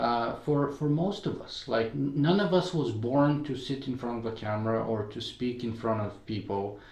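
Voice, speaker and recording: A man of medium pitch speaks with a Bulgarian accent and hardly any pauses, with audible room echo around him. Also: ordinary pitch variation, moderate pace. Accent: noticeable Bulgarian. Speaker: podcaster and blogger. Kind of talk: interview conversation.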